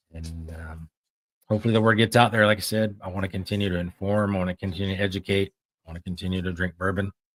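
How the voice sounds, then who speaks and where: Music plays behind a man talking very fast in a very deep, low, monotone voice with big swings in loudness. The sound is dry and close, with no echo. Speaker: podcast host. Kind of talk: solo livestream talk. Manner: hesitant, stuttering.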